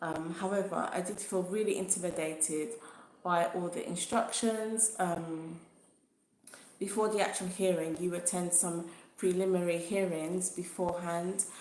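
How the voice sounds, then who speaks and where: A woman with a fairly low pitch speaks at a moderate pace with fairly even intonation. Audible room echo surrounds her voice. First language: not English. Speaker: YouTuber sharing personal legal experience. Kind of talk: livestream talk to viewers. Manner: hesitant, many fillers.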